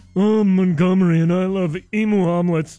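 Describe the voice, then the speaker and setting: A man puts on a character voice pitched high. He keeps a monotone, flat intonation at a moderate pace. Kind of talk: posh.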